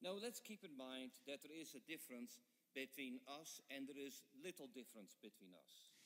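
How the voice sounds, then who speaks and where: Fairly slow and with lively intonation, a man speaks at a fairly high pitch. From Netherlands. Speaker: guest preacher, professor. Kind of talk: sermon with interpreter. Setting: church. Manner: short phrases, pausing for interpreter.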